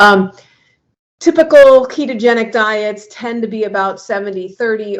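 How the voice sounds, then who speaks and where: This voice moves at a fairly slow pace with ordinary pitch variation. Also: woman. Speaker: doctor giving a health talk. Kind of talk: lecture. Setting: video call.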